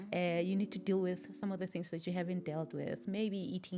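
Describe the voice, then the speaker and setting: Music runs in the background as a woman talks. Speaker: podcast host. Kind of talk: podcast conversation.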